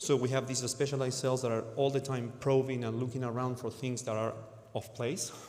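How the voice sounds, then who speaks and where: With audible room echo, a man at medium pitch talks at a fairly quick pace in a monotone, flat manner. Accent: non-native. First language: not English. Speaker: cancer researcher. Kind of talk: conference talk. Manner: halting, many fillers.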